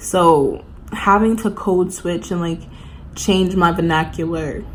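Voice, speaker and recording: A woman speaks fairly slowly in a New York accent. Audible room echo and noticeable background noise fill the recording. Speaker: college student vlogger. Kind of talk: casual chat. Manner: casual, filler-heavy.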